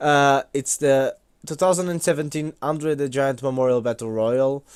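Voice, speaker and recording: A man with a non-native accent at a moderate pace, ordinary pitch variation and big swings in loudness, on a very clean recording with a silent background. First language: not English. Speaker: wrestling YouTuber. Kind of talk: casual commentary vlog. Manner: hesitant, many fillers.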